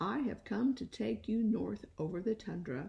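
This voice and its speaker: Using a put-on character voice, a woman speaks at a medium pitch. Her pace is moderate. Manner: soothing.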